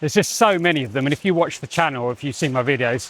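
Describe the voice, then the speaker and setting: In a southern English accent, a man speaks at a fairly high pitch with ordinary pitch variation. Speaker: spiritual teacher and channeler. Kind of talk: walk-and-talk monologue. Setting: outdoors, on a walk. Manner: loud.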